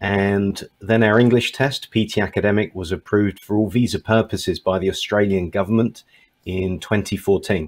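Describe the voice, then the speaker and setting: A man with a British accent at a fairly low pitch and a moderate pace, on a very clean recording with a silent background. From Britain. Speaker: English test company manager. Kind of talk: panel discussion.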